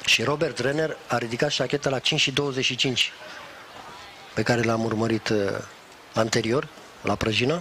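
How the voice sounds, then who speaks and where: Over noticeable background noise, the speech goes at a fairly slow pace with long, frequent pauses, very even loudness and fairly even intonation. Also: man, medium pitch for a man. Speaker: sports commentator. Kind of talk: live sports commentary.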